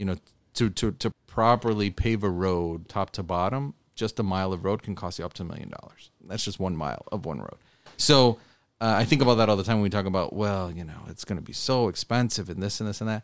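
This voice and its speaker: Recorded very cleanly with a silent background and a dry, close sound with no echo, a man with an American accent talks very fast at a fairly low pitch, with ordinary pitch variation and big swings in loudness. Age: 30s. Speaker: state legislator. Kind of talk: interview.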